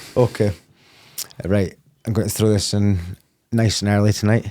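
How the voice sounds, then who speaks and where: A man with a Scottish accent, fairly low in pitch and dark, mellow in tone. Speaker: podcast host. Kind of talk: casual podcast interview. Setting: studio.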